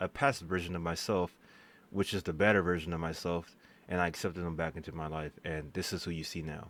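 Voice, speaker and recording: A man's fairly even intonation on a very clean recording with a silent background. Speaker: vlogger. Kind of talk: personal storytime vlog. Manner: halting, self-interrupting; casual, filler-heavy.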